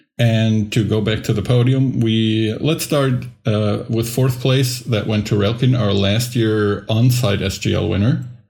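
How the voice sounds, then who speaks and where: A man's somewhat breathy, fairly slow speech with hardly any pauses, very even loudness and fairly even intonation. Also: medium pitch for a man. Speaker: podcast co-host. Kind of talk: casual chat.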